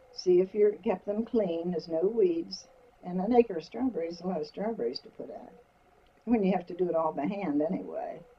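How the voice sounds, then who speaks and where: A woman's medium-pitched voice at a fairly quick pace, with ordinary pitch variation, big swings in loudness and noticeable background noise. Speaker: interviewee recounting her life. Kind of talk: interview answer, recalling personal history.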